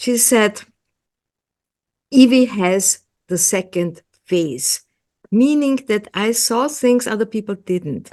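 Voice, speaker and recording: A woman with an Austrian accent, fairly high in pitch and dark, mellow in tone, with lively intonation, a very slow pace and long, frequent pauses against a quiet background. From Austria, Vienna. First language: German. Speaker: hypnotherapist. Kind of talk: interview. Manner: halting, many fillers and repeats.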